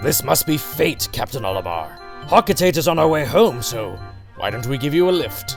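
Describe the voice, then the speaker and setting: A man's put-on character voice at medium pitch with very wide pitch swings, at a moderate pace over clear music in the background. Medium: dub.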